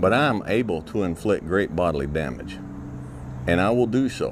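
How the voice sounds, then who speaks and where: A man talks at a moderate pace in a calm tone. His intonation is lively. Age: middle-aged. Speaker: motivational speaker. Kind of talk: motivational talk. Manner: calm, conversational.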